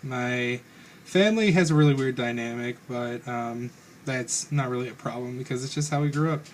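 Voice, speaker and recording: A man's medium-pitched voice, with ordinary pitch variation, moves at a moderate pace. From Northern Kentucky, Carroll and Owen counties. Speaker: vlogger. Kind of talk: personal vlog monologue. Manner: hesitant, many fillers.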